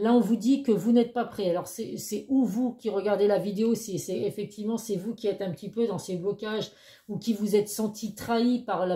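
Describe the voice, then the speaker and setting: Fairly quick in pace, a woman speaks at medium pitch with a dark, mellow tone. Her voice is somewhat breathy and her intonation fairly even. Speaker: tarot card reader. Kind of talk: tarot reading monologue. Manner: fast; hesitant, many fillers.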